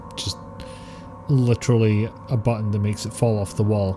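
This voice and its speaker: Music plays in the background as a man with a Scottish accent speaks at a moderate pace. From Scotland. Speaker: game streamer. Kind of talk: casual live-stream chat.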